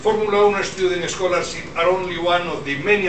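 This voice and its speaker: With audible room echo and light background noise, a man talks in a high pitch with fairly even intonation. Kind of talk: formal speech. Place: hall. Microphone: pa.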